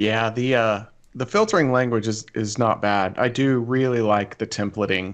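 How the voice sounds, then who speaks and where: A man with an American accent, a plain, everyday voice, medium pitch, fairly even intonation and a moderate pace. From central Illinois. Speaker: network engineer. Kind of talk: casual chat.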